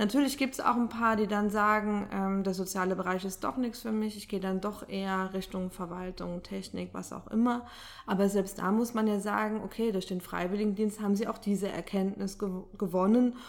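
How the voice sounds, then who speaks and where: A woman at medium pitch talks at a moderate pace with fairly even intonation and hardly any pauses. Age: 30s. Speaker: social sector statistics staff member. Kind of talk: interview. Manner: hesitant with filler sounds.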